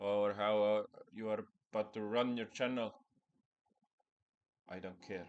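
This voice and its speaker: Speaking with a non-native accent, a man talks at a fairly slow pace in a fairly low pitch, his intonation monotone and flat, with long, frequent pauses. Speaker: spiritual content creator. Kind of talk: personal vlog monologue.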